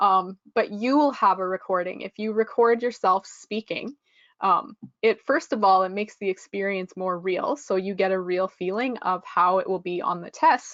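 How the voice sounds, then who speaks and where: With a Canadian accent, a woman talks in an unremarkable speaking voice at a medium pitch and moderate pace, with ordinary pitch variation and a dry, close sound with no echo over a quiet background. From western Canada (Regina, Saskatchewan). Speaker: English test prep instructor. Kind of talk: webinar lecture. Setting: online webinar.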